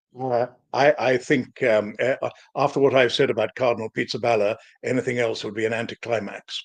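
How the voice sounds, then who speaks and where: Fairly quick, monotone, flat delivery from a man at medium pitch with a British accent. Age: 70s. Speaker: historian and author. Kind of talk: live-stream interview. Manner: halting, stammering repetitions.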